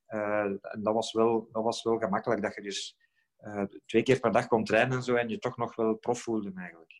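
In a very clean recording with a silent background, a man talks at a medium pitch. His pace is moderate and his intonation monotone and flat. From Belgium, Flemish Brabant. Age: 40s. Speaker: former professional footballer. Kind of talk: podcast interview.

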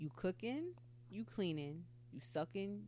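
A woman speaks at a moderate pace. Her pitch sits fairly low.

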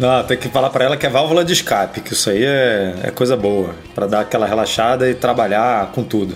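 Noticeable background noise sits behind a man at medium pitch. He goes at a fairly quick pace with hardly any pauses and ordinary pitch variation. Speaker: podcast co-host. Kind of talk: casual chat. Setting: studio, streamed live on YouTube.

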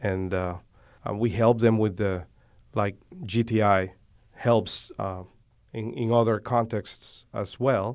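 Long, frequent pauses break up very slow speech in a Spanish accent with fairly even intonation, on a very clean recording with a silent background. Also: man, fairly low pitch for a man. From Dominican Republic. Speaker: seminary director, minister. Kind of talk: interview. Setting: studio. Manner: hesitant, many fillers.

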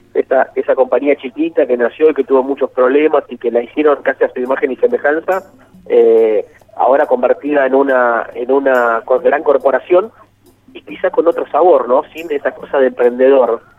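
A man speaks in a Rioplatense accent at a moderate pace. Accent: Argentine Rioplatense Spanish. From Argentina, Buenos Aires province south (Rivera area). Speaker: journalist and author. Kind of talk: radio interview. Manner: halting, frequent repetitions.

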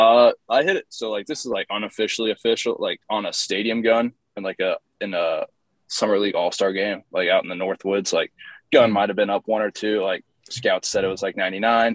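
A man speaks at a fairly quick pace with a Midwestern American accent, the sound dry and close with no echo. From Indiana, US Midwest. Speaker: professional baseball pitcher. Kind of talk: interview. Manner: casual, filler-heavy.

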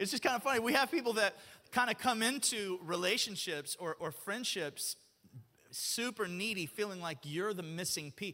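A man with a high pitch uses a raised, projected voice, and his tone is animated, bright and sharp. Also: lively intonation, moderate pace. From Alabama. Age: 40s. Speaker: pastor. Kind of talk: sermon. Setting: church.

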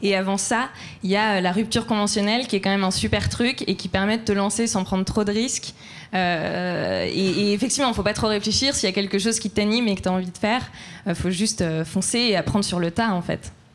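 A woman with a normal speaking voice at a medium pitch. She talks at a fairly quick pace with fairly even intonation. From France. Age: 20s. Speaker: entrepreneur, fashion brand founder. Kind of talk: live panel discussion. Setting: live event with audience.

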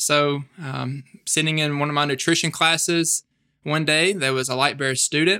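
A man with a Mississippi accent, fairly high-pitched and bright, sharp in tone, at a moderate pace with fairly even intonation, on a very clean recording with a silent background. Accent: Southern US (Mississippi). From US South, northeast Mississippi. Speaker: campus ministry staff member. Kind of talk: interview.

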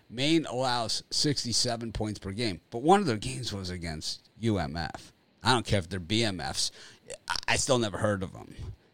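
A man with an American accent talks at a fairly slow pace in a fairly low voice with vocal fry and big swings in loudness. His tone is animated and his intonation lively, in a very clean recording with a silent background. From Florida. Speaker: sports betting show host. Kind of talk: casual chat.

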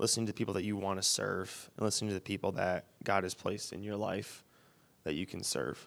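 Fairly low in pitch, a man with a Michigan accent talks at a moderate pace with ordinary pitch variation. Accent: US Midwest, Michigan. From Wyoming, Michigan (Grand Rapids area). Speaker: missions student. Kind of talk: interview on stage. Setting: church.

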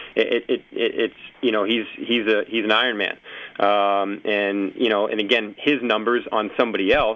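A man with an American accent, fairly low in pitch, in a flat monotone. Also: moderate pace. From Massachusetts. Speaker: athletic trainer. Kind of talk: casual chat. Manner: halting, many repetitions.

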